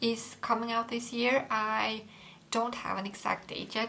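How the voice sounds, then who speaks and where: Against noticeable background noise, a woman talks with a Swedish accent. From Sweden. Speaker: book youtuber. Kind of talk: casual chat. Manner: halting.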